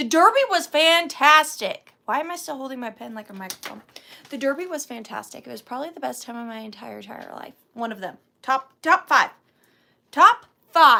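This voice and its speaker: A woman talks at a moderate pace in a raised, projected voice, her bright, sharp tone playful and animated with lively intonation. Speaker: antiques and vintage reseller. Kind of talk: live sale stream chat. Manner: playful, animated.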